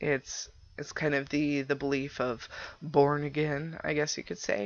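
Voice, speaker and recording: A woman's nervous-toned voice, very deep and low in pitch, with vocal fry. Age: 20s. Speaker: podcast host. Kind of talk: casual chat. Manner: halting, stumbling over words; nervous laughter.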